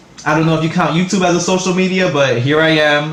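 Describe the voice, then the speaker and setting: Over noticeable background noise and with audible room echo, a man speaks with a New York accent and fairly even intonation. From New York City, the Bronx. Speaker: vlogger. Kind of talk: casual vlog monologue. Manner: hesitant, many fillers.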